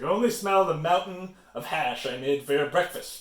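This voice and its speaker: A man bellows in a put-on character voice, pitched high, at a moderate pace. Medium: read story. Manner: roaring, brusque.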